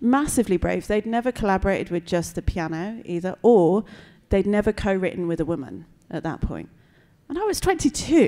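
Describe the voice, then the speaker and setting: Lively intonation marks this woman's speech, delivered with a British accent. Her tone is dark and mellow, and the background is quiet. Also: moderate pace. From Britain. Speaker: composer and visual artist. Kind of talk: panel talk before audience. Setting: gallery event with live audience. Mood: warm, reflective. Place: hall. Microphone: handheld.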